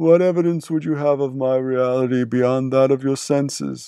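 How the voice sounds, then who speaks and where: Putting on a character voice, a man talks at a moderate pace with a medium pitch. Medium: read story. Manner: solemn, slow and doom-laden.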